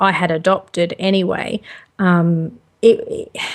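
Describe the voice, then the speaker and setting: A woman with an Australian accent speaks at a medium pitch with ordinary pitch variation. The recording is very clean, with a silent background. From Australia (Sydney), born in Liverpool. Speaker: home-educating parent, gaming youtuber. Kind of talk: casual interview.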